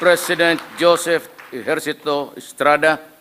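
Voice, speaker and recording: Through noticeable background noise, a man speaks at a fairly slow pace and fairly high pitch in a monotone, flat way. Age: 70s. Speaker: head of state. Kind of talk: inaugural speech. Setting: formal hall before an audience.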